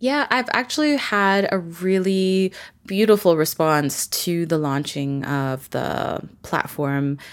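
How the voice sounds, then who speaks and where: A woman's fairly low voice, an ordinary speaking voice with a Canadian accent, lively intonation and a fairly slow pace, on a very clean recording with a silent background. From Vancouver, Canada. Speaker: story artist and community founder. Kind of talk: casual interview conversation.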